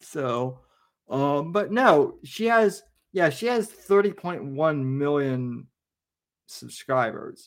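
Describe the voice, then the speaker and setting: The man's pitch is fairly high and swings very widely. He speaks at a very slow pace. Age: 30s. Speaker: podcast host. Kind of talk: casual chat.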